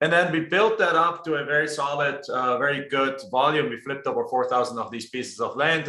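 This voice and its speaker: A man at a fairly high pitch, fairly quick pace and hardly any pauses, with noticeable background noise. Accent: German. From Germany. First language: German. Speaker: real estate investor. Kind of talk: interview. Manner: frequent word repetitions.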